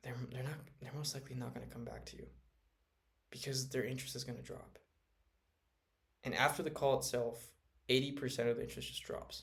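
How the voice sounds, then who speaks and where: A soft-spoken man talks very fast, with big swings in loudness and long, frequent pauses. Room echo is audible. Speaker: sales automation consultant. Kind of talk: casual talk to camera. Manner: halting.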